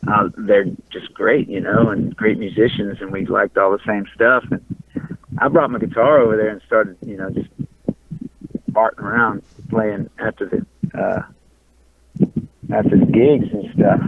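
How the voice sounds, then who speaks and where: In a Louisiana accent, a man talks at a fairly low pitch with ordinary pitch variation. He leaves long, frequent pauses. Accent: Louisiana drawl. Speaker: punk and country musician. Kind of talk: casual interview. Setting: in a car, driving in traffic. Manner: halting, repeats words.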